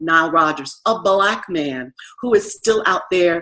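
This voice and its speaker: A woman with an ordinary speaking voice and an American accent talks at a fairly low pitch. Her pace is fairly slow. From New York. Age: 60s. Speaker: radio DJ and music advocate. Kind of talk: interview.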